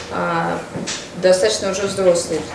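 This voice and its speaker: A woman is heard with audible room echo. Noticeable background noise runs underneath. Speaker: mother vlogger. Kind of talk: casual vlog. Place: home room. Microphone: camera far.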